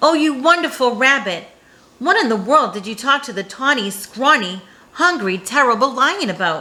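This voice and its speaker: A woman uses a put-on character voice with a high pitch at a moderate pace. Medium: read story. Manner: sly.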